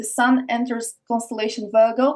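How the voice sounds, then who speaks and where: A woman speaks with an Eastern European accent in a high pitch. Her intonation is flat and monotone. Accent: Eastern European, noticeable. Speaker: podcast guest, esoteric speaker. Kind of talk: casual interview chat.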